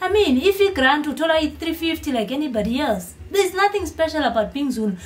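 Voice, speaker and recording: An animated woman's voice with lively intonation amid noticeable background noise. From Eswatini. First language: Swati. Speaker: YouTuber. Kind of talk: vlog commentary.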